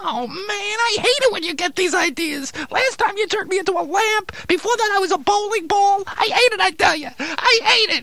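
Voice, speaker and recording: In a cartoonish character voice, the speaker uses an extremely high, whiny tone at a moderate pace with hardly any pauses, over light background noise. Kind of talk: comic ventriloquist patter. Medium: puppet show. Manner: whiny, complaining.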